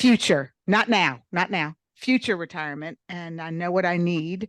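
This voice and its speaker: In a normal speaking voice, a woman with fairly low pitch talks at a fairly slow pace, the sound dry and close with no echo over a quiet background. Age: 60s. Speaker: real estate agent. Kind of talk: workshop Q&A.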